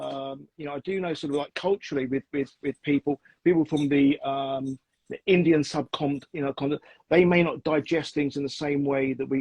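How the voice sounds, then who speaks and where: A man's fairly high, monotone voice with flat intonation at a moderate pace, dry and close with no echo. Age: 50s. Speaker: diet advocate. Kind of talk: interview. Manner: halting.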